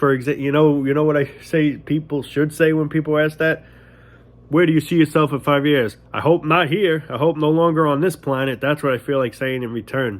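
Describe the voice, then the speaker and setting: Here a man speaks in a New York accent. His voice is fairly high, and his pace is fairly quick. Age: 20s. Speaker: vlogger. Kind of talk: casual monologue rant. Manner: animated.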